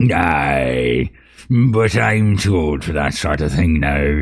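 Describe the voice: In a put-on character voice, a man speaks with a very deep, low pitch. It is raspy and very slowly paced.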